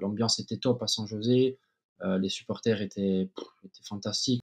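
A man speaks with a Corsican accent at a moderate pace and fairly even intonation. His loudness swings widely against a quiet background. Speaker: former professional footballer. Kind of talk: interview answer. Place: home room. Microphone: webcam.

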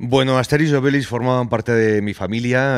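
The speech runs at a fairly quick pace with ordinary pitch variation against a quiet background. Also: man. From Spain, Valladolid. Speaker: podcast guest. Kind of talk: casual chat. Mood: nostalgic, cheerful. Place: studio. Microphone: studio mic.

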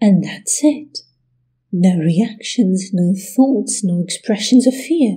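Speaking very slowly, a woman of medium pitch uses lively intonation with a dark, mellow, somewhat breathy tone. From Russia. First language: Russian. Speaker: history video creator. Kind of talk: scripted narration.

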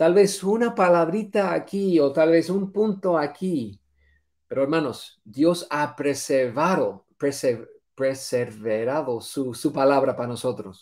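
Against a quiet background, a man with a fairly high pitch speaks very slowly with lively intonation. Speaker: Bible teacher; bible teacher. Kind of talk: religious lesson. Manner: halting, many fillers and repetitions. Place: home room.

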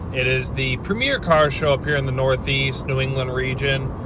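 A man speaks at a moderate pace in a dry recording with no echo. Noticeable background noise can be heard. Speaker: vlogger driving. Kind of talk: casual vlog chat. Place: car. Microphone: phone near.

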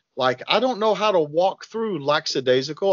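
A man speaks with lively intonation against a quiet background, the sound dry with no echo. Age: 40s. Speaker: firearms and self-defense trainer. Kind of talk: podcast interview. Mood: reflective, personal. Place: home room. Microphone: video call.

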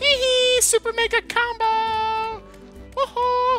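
Over clear music in the background, a put-on character voice at extremely high pitch drags along very slowly in a monotone, flat intonation.

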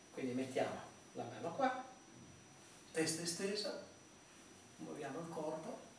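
A man with a high pitch speaks at a fairly slow pace, with audible room echo and light background noise. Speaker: therapist or instructor. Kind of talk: tutorial.

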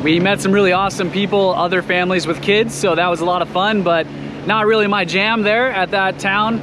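Over clear background noise, a man talks at a fairly quick pace with a high pitch and fairly even intonation.

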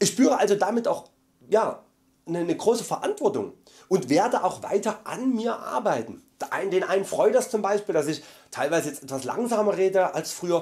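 A man speaks with a Saxon accent, his pitch high and his intonation lively. He keeps a moderate pace against a quiet background. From Saxony, Germany. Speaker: vegan YouTuber; vlogger. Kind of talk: monthly vlog update. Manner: loud; hesitant fillers.

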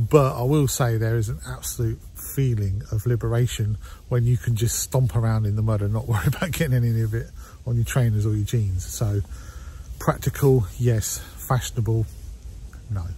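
The recording of a man speaking at a fairly quick pace sounds dry with no echo, with light background noise. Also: ordinary pitch variation. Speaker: photography vlogger. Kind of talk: casual vlog chat. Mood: self-mocking, jokey. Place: forest. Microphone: lapel.

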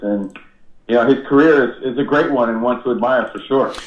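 The speaker is a man. He has an American accent. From New Jersey. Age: 40s. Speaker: radio host. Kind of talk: casual chat. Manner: animated.

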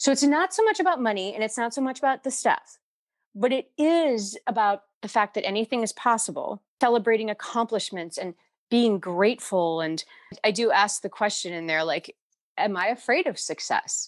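A woman's fairly high voice with very wide pitch swings at a moderate pace, dry and close with no echo, over a quiet background. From Ohio, US Midwest. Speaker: life coach. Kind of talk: interview.

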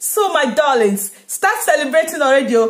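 Over a quiet background, a woman speaks at a moderate pace with high pitch and very wide pitch swings. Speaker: content creator. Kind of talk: fervent prayer and blessing, delivered like a rousing pep talk to followers. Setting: video blog to camera. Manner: exuberant, declarative, rhythmic repetition, rising fervor; upbeat and energetic. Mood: joyful, celebratory. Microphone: phone near.

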